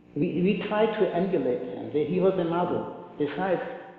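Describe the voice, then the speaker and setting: A man speaks with ordinary pitch variation amid noticeable background noise and audible room echo. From Poland. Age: 70s. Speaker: Holocaust survivor speaker. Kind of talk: testimony with Q&A. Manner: halting, repeats words.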